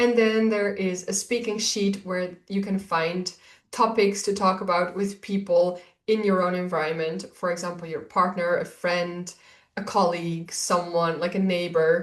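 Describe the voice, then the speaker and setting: In a Dutch accent, a woman speaks at a moderate pace and a medium pitch. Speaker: Dutch language teacher. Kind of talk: course introduction. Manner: enthusiastic.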